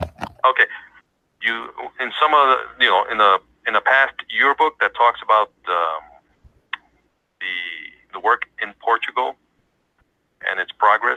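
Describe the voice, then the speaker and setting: Long, frequent pauses mark this man's speech, which moves at a fairly slow pace. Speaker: religious headquarters phone representative. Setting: phone line.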